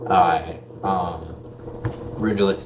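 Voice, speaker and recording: Through noticeable background noise, a man with an American accent talks at a fairly low pitch with ordinary pitch variation. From Michigan, US Midwest. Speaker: podcast host, soldier. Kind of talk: casual live-stream podcast monologue. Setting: live stream on camera. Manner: halting, with many fillers.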